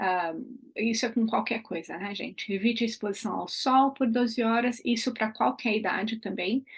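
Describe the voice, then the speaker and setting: Little sound comes from behind the voice. There is some breathiness in it. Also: woman, fairly high pitch for a woman, ordinary pitch variation, moderate pace. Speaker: aromatherapy educator. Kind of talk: online class.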